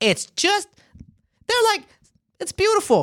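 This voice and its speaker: Recorded very clean with a silent background and a dry, close sound with no echo, a man with an American accent talks at a moderate pace with ordinary pitch variation. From Florida (Tampa, St. Petersburg). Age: 30s. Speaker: comedian. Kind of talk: casual chat.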